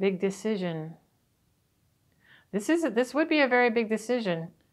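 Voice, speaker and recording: In a quiet background, a woman with a fairly high pitch talks at a moderate pace with lively intonation. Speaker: tarot reader. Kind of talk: tarot reading talk to camera. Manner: casual. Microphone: phone near.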